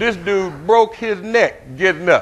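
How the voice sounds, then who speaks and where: The speaker has an animated tone and talks with an American accent. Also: man. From US South. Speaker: pastor. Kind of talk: sermon. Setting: church. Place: church.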